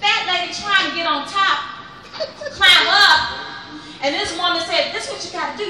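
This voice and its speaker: A woman speaks in a raised, projected voice with an animated tone, her pitch extremely high with ordinary variation. Audible room echo and noticeable background noise fill the recording. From US Midwest, Chicago. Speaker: comedian. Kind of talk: stand-up.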